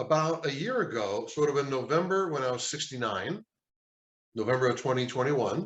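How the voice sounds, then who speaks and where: A man's fairly high, somewhat breathy voice at a moderate pace with lively intonation. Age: 70s. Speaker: retired accountant. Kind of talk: interview. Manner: halting.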